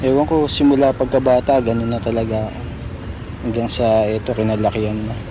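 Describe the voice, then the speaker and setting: Noticeable background noise sits behind a man talking at a fairly quick pace. His medium-pitched voice keeps a fairly even intonation. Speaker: vlogger. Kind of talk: casual vlog talk to camera. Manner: soft-spoken, quiet.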